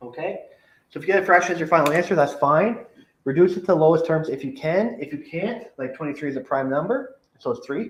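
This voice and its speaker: A high-pitched man talks at a very fast pace. His intonation is lively, with big swings in loudness. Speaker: math teacher. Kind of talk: recorded lesson for class.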